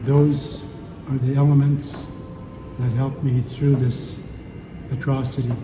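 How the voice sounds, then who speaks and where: A man at a medium pitch with monotone, flat intonation, a fairly slow pace and long, frequent pauses, amid noticeable background noise and audible room echo. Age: 70s. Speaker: former chief and residential school survivor. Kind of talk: testimony.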